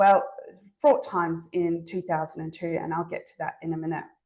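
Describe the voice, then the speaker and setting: A woman speaks with a slight Zimbabwean accent. Her pitch sits fairly low. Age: 40s. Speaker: allied health private practitioner. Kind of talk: webinar presentation. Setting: online webinar. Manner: hesitant, many fillers.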